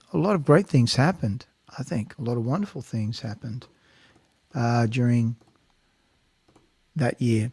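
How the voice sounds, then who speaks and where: A somewhat breathy man speaks with an American accent on a very clean recording with a silent background. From Australia. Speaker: singer-songwriter and show host. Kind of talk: casual chat; spoken introduction to a song. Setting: home studio livestream. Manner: casual, halting with fillers.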